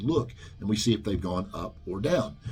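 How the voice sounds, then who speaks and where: Somewhat breathy tones come from a man as he speaks. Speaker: personal trainer, studio owner. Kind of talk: informal explainer video. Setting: training studio. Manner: fast; hesitant, many fillers.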